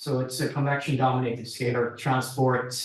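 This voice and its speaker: Somewhat breathy, medium-pitched male speech, monotone and flat, at a moderate pace with audible room echo. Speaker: researcher presenting at workshop. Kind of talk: technical presentation; Q&A answer.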